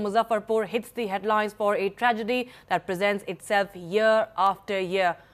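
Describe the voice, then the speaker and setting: A woman with an unremarkable speaking voice, a fairly high pitch and a moderate pace. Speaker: news anchor. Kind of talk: TV news bulletin read.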